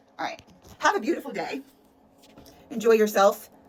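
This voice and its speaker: Over noticeable background noise, a woman speaks in an animated, passionate tone with lively intonation. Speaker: energy practitioner. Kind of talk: motivational monologue. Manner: passionate, forceful.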